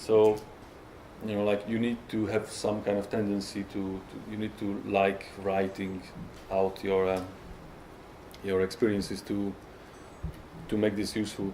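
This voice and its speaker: Amid audible room echo, a man with a dark, mellow, fairly low voice speaks fairly slowly in a monotone, flat intonation, with long, frequent pauses. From Hungary. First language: Hungarian. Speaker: software tester. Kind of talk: conference talk. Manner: halting, many fillers and repetitions.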